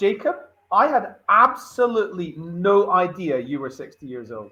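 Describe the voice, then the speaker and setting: Raised and projected, a man's high, bright, sharp voice moves at a moderate pace with very wide pitch swings and big swings in loudness. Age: 40s. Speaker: recruitment show co-host. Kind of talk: panel discussion.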